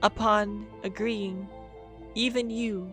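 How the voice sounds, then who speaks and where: Music plays behind a soft-spoken woman. Her tone is soothing, with ordinary pitch variation. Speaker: lore podcaster / fantasy worldbuilder. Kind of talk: fantasy lore narration. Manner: soft, sleepy, soothing.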